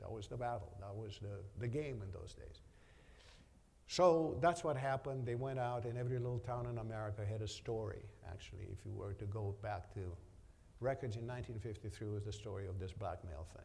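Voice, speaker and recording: There is audible room echo as a man with a medium-pitched, somewhat breathy voice talks at a fairly quick pace with ordinary pitch variation. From Romania. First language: Romanian. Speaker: business executive. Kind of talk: onstage interview.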